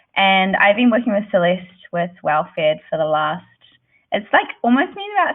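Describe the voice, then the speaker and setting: A woman speaks in a New Zealand accent at a fairly quick pace. Her pitch sits at a medium level with ordinary variation. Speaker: creative director. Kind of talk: presentation.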